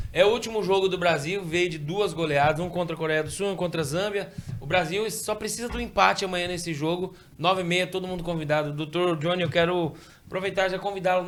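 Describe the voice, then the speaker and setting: With noticeable background noise behind him, a high-pitched man speaks at a very fast pace and with fairly even intonation. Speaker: TV sports show host. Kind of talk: TV show sign-off and announcements.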